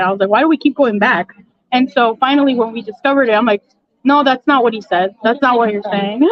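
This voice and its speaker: A woman speaks in a high pitch. Her pitch varies in an ordinary way. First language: Spanish. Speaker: event guest sharing family health experience. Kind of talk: casual interview chat. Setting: live at an expo event.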